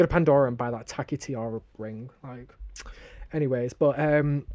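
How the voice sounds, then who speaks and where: With a northern English accent, a man speaks in a fairly high-pitched voice of dark, mellow tone. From northern England, Sheffield. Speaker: podcast co-host. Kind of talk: casual chat. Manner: animated.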